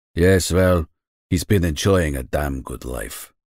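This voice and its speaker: A man's put-on character voice, growling and very deep, at a fairly slow pace, on a very clean recording with a silent background. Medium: read story. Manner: gruff, blunt.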